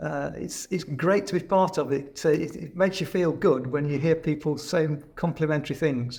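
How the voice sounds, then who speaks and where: A somewhat breathy man with a fairly high pitch talks with fairly even intonation and hardly any pauses. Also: moderate pace. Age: 60s. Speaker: nature reserve volunteer. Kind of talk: interview answers. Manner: halting, repeats words.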